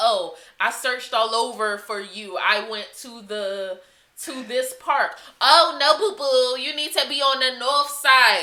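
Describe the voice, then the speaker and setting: Putting on a raspy character voice, a woman speaks at a fairly slow pace and high pitch, with lively intonation and big swings in loudness. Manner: talkative, gushing.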